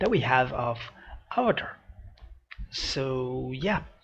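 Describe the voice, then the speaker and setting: A man's somewhat breathy voice sits at a medium pitch with ordinary pitch variation. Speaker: reaction video youtuber. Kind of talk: reaction video commentary. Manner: halting, many fillers.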